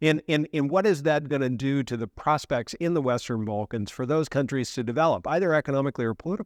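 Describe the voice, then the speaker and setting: Speaking at a very fast pace with hardly any pauses, a man with an American accent uses lively intonation and a fairly high pitch. The sound is dry and close, with no echo. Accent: American, noticeable. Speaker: professor. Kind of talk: interview. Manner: repetitive false starts.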